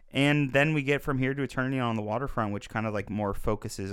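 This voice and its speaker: On a very clean recording with a silent background, a man speaks at a very fast pace with ordinary pitch variation. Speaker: podcast co-host, film reviewer. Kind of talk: casual film discussion.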